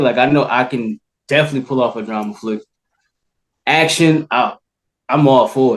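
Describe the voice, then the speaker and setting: A man with a fairly high pitch and an American accent, at a moderate pace. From New Jersey. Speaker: actor. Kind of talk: casual interview.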